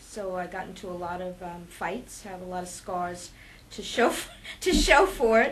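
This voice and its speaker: A woman speaks at a moderate pace, and audible room echo can be heard. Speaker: interviewee, community member. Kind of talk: interview answer.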